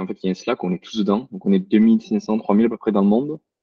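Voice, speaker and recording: A man talks at a very fast pace. He speaks with a southern French accent. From southern France (Marseille area). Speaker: cloud solutions architect, webinar speaker. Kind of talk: webinar presentation. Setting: online webinar. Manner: hesitant, many fillers.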